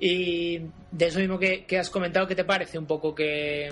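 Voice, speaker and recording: A man is speaking. His pitch is fairly high. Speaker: podcast host interviewing miniature painters. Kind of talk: casual interview.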